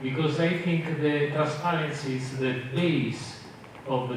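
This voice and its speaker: Amid noticeable background noise and audible room echo, a man speaks very slowly with fairly even intonation. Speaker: community member asking question. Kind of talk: community meeting Q&A. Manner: halting.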